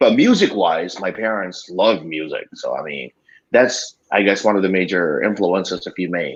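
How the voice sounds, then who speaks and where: A man with a Filipino accent speaks at a moderate pace. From Philippines, Batangas. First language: Tagalog. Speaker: radio DJ. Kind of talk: casual chat.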